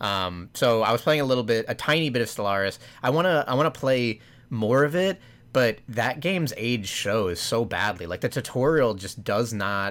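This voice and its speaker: A man's ordinary speaking voice, medium in pitch, at a moderate pace with lively intonation, in a very clean recording with a silent background. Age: 20s. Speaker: video game podcast co-host. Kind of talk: casual chat.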